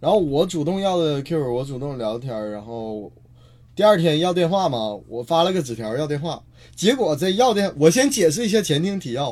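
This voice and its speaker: A man with a fairly high pitch, very wide pitch swings and a moderate pace. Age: 20s. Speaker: stand-up comedian. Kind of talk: casual chat.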